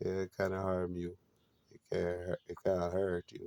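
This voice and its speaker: A man at a fairly slow pace, the sound dry and close with no echo. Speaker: religious vlogger. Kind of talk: spiritual monologue. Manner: halting.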